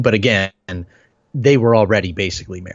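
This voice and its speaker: This man has an unremarkable speaking voice, fairly low in pitch with ordinary pitch variation. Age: 30s. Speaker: podcast co-host. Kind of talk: casual chat.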